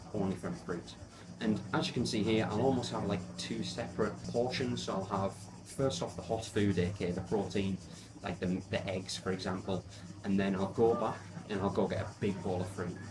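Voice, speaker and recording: Against audible room echo, a man with an English accent speaks with lively intonation. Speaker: fitness coach. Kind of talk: vlog narration.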